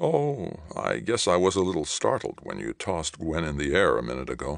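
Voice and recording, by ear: In a very clean recording with a silent background, a man puts on a character voice at an extremely low pitch, with vocal fry, big pitch swings and a moderate pace.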